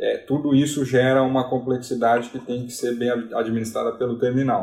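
At a moderate pace, a man speaks in a medium pitch with a dark, mellow tone that is somewhat breathy. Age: 30s. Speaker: port terminal sales manager. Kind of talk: interview.

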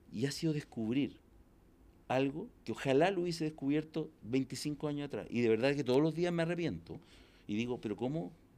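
A man speaks with a Chilean accent at a fairly high pitch, his tone dark and mellow. His pitch varies in an ordinary way at a moderate pace, and the recording is very clean with a silent background. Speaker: entrepreneur and executive coach. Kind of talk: casual interview. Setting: in-person interview. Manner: loud.

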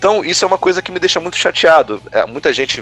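Over noticeable background noise, a man talks at a very fast pace with lively intonation in a dry, close sound with no echo. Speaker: gaming youtuber. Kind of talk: casual chat.

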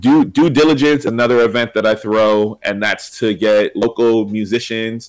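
With an American accent, a man talks at a moderate pace in an ordinary speaking voice, his pitch medium and its variation ordinary. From Pennsylvania, Reading. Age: 20s. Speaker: educator and podcaster. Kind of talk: casual interview.

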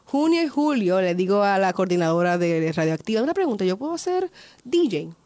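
Talking at a fairly quick pace, a woman with a medium pitch uses lively intonation. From Puerto Rico. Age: young. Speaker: interviewer and filmmaker. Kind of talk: casual interview. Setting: studio.

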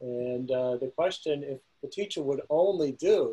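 Somewhat breathy and dark, mellow in tone, a man with a fairly high pitch speaks at a fairly slow pace with ordinary pitch variation. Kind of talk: panel discussion.

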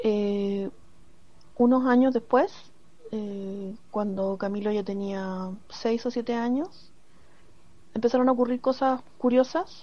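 A woman talks at a very slow pace with long, frequent pauses. Her voice is fairly high with a dark, mellow tone and ordinary pitch variation. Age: 50s. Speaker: university professor. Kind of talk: recorded personal testimony.

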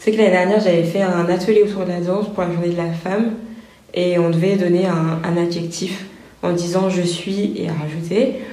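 A woman's fairly low voice at a moderate pace, with audible room echo and music in the background. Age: 20s. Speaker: pharmacist. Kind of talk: interview.

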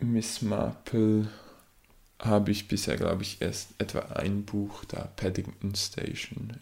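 In a Swiss German accent, a man speaks with a fairly low pitch and fairly even intonation. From Switzerland. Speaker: aspiring novelist and podcaster. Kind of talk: casual solo talk about writing and books.

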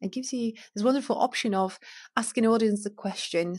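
A woman's fairly high, somewhat breathy voice at a fairly quick pace, on a very clean recording with a silent background. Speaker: podcast host. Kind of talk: motivational podcast monologue. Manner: energetic.

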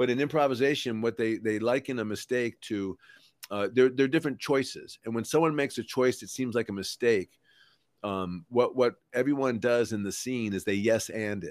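The recording is very clean with a silent background and a dry, close sound with no echo, as a man speaks with ordinary pitch variation. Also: medium pitch for a man, moderate pace. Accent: Midwestern American. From Ohio, US Midwest. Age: 50s. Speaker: comedian and author. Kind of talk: casual interview chat. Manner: halting, many fillers and repeats.

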